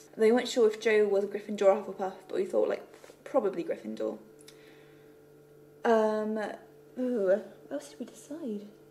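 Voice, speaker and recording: A woman mumbling, with long, frequent pauses and light background noise. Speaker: web series creator and writer. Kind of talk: casual talk to camera. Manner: a little mumbly. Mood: relaxed, reflective, a bit self-conscious. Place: home room. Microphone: phone near.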